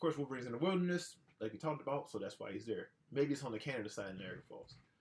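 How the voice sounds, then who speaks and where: Somewhat breathy, a man rushes along at a very fast pace with lively intonation. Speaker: podcast host. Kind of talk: casual solo podcast talk. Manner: animated.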